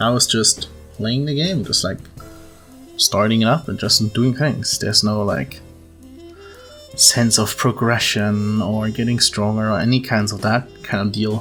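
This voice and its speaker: Over music in the background, a speaker with a non-native accent moves at a fairly slow pace, with long, frequent pauses. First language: non-native English speaker. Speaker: gaming video creator. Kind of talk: casual gaming commentary. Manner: rambling, hesitant.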